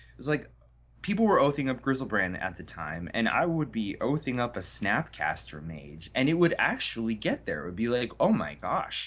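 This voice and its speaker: A man with an American accent, medium pitch, vocal fry and very wide pitch swings, at a moderate pace. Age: 30s. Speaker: card game tournament champion. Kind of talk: casual interview.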